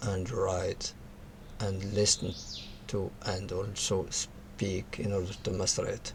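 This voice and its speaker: Noticeable noise runs under speech delivered very slowly. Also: man. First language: not English, uses French a lot. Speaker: tech tutorial creator. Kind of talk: tutorial. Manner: halting, with many fillers.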